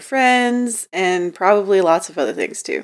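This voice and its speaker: Her intonation lively, a woman with a plain, everyday voice speaks at a fairly slow pace. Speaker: podcast co-host. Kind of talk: casual interview chat.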